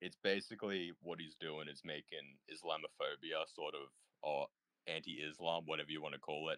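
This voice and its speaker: In an Australian accent, a man talks at a fairly quick pace, recorded with a dry, close sound and no echo. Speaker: discord panel participant. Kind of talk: casual chat. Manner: hesitant, many fillers.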